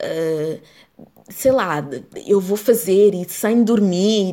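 A woman with a European Portuguese accent speaks at a medium pitch in a dark, mellow tone. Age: 20s. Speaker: podcast host. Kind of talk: solo podcast monologue.

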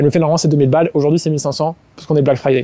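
A man's fairly high voice carries a dark, mellow tone and fairly even intonation. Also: dry, close sound with no echo. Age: 20s. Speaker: entrepreneur. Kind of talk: casual chat. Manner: halting.

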